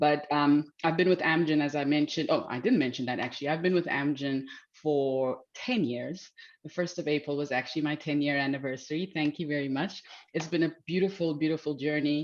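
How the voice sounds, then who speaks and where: A woman talks at a fairly quick pace in a very deep, low voice with fairly even intonation. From South Africa. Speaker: physician and pharmaceutical executive. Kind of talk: panel introduction.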